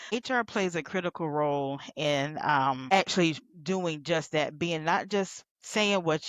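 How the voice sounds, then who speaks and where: Speech with ordinary pitch variation in a Southern US accent. The background is quiet. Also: woman. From US South. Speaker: healthcare recruitment consultant. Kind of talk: podcast interview. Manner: conversational.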